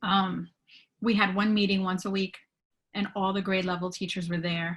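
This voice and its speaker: With a somewhat breathy, medium-pitched voice, a woman talks at a moderate pace in monotone, flat intonation, leaving long, frequent pauses. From immigrant to the US. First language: not English. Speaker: teacher. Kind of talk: webinar talk.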